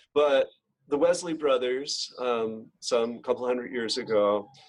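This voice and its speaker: This man has a normal speaking voice and an American accent. He talks at a fairly slow pace, with a medium pitch and ordinary pitch variation. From US Northeast, rural western New York. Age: 60s. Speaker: professor of theology. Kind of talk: interview, personal reflection.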